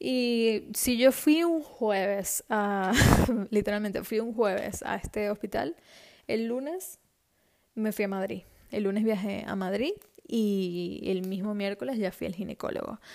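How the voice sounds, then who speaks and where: A woman's voice at medium pitch, at a fairly slow pace. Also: ordinary pitch variation. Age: 20s. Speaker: podcast host. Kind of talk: casual monologue. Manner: animated.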